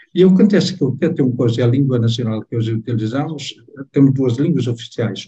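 Somewhat breathy and dark, mellow in tone, a man's medium-pitched voice carries lively intonation. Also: dry, close sound with no echo. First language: Tetum (speaking Portuguese). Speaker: novelist. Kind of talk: book club interview.

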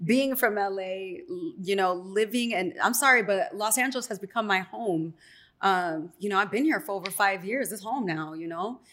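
In a Chicago accent, a woman speaks at a moderate pace and a medium pitch with ordinary pitch variation. The recording is very clean, with a silent background. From Chicago, south side, Mexican American. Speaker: radio personality. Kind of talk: casual chat. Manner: animated.

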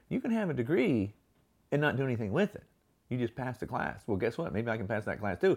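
A man with vocal fry speaks in an animated tone, his pitch swinging very widely. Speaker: podcast host. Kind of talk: motivational monologue. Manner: animated, gestures a lot.

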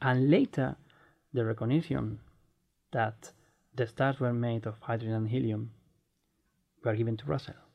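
With a Spanish accent, a man speaks with ordinary pitch variation and long, frequent pauses. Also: medium pitch for a man, moderate pace. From Spain. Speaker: astronomer and podcast co-host. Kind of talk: casual chat.

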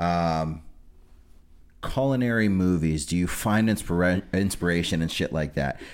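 In a Midwestern American accent, the speaker talks at a moderate pace with ordinary pitch variation and very even loudness, on a very clean recording with a silent background. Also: man, very deep, low pitch for a man. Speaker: podcast host. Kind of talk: casual chat. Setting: studio.

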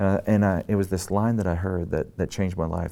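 A man's very deep, low voice with a dark, mellow tone and ordinary pitch variation, at a very fast pace on a very clean recording with a silent background. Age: 30s. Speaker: pastor and author. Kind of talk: interview.

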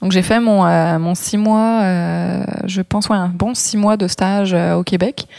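A woman speaks very slowly at a medium pitch, her dark, mellow tone carried on fairly even intonation. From France, Brittany (Morbihan). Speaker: photographer and makeup artist. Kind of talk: interview.

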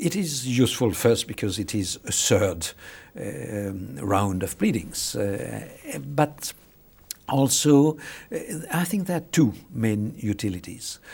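With a French accent, a man talks at a very slow pace, his pitch swinging very widely. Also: medium pitch for a man. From France. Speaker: international law professor. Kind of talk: interview. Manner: halting, many hesitations and repetitions.

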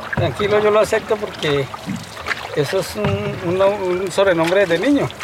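High-pitched male voice against noticeable background noise. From Colombia, Honda (Tolima). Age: 50s. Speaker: fisherman and local guide. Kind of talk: interview.

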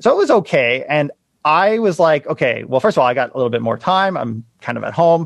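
A man at a fairly quick pace and a fairly high pitch. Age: 30s. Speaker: realtor and real estate investor. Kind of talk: interview conversation. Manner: fast, loud.

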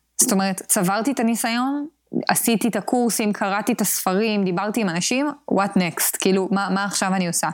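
A woman's medium-pitched voice at a fairly quick pace, with ordinary pitch variation and very even loudness. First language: English and Spanish (speaking Hebrew). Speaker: product manager. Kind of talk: interview.

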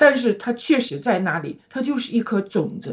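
A woman speaks at a moderate pace. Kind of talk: personal religious testimony. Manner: warm and enthusiastic.

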